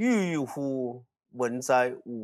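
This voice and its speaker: A man is speaking. The background is quiet. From Hunan, Hunan-Jiangxi border area; Hunan. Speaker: archaeologist; guest. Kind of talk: casual chat. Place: studio. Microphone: lapel.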